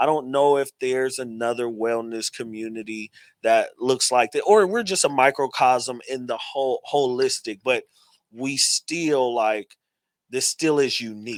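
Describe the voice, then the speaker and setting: Speaking with a strong Texas accent at a fairly slow pace, a man has a medium pitch, ordinary pitch variation and an animated tone, recorded very clean with a silent background and a dry, close sound with no echo. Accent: heavy Texas. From Texas, Dallas. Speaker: metaverse architect and event host. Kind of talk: panel discussion.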